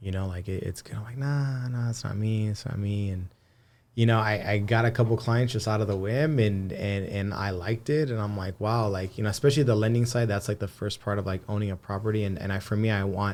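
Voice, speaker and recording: With a Spanish accent, a man speaks at a fairly low pitch and with fairly even intonation. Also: fairly quick pace. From Antelope Valley, Southern California. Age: 30s. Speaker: marketer and loan broker. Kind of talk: casual podcast interview. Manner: frequent fillers and repetitions.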